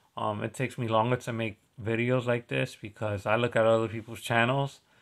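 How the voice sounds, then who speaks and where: A man speaks at a fairly quick pace and medium pitch. His intonation is fairly even. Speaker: stock investing YouTuber. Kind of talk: casual screen-share stock review. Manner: halting, many fillers and restarts.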